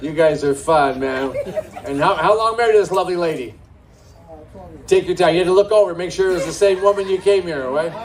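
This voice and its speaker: Amid noticeable background noise, a man with a high pitch and ordinary pitch variation talks at a very fast pace, broken by long, frequent pauses. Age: 60s. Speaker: stand-up comedian. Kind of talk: stand-up with crowd work. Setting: stage with live audience at a brewery.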